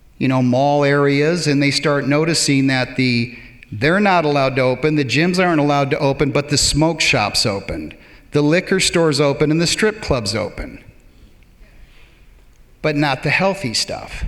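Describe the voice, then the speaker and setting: A man with a plain, everyday voice speaks at a moderate pace, his pitch fairly high with ordinary variation. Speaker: public speaker. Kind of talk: live stage talk. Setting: theater stage.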